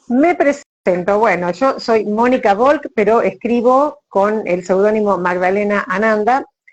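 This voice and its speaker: Her voice fairly high, a woman with an Argentine accent speaks at a fairly slow pace with ordinary pitch variation and very even loudness. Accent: Argentine Spanish (Rioplatense). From Argentina. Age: 60s. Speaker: writer, retired teacher. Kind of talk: casual interview chat.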